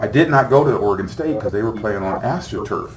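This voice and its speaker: The speaker is a man with ordinary pitch variation. Noticeable background noise and audible room echo surround his voice. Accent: American. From California, Sacramento. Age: 60s. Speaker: former football player, motivational speaker. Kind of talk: talk to students, Q&A. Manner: casual, conversational.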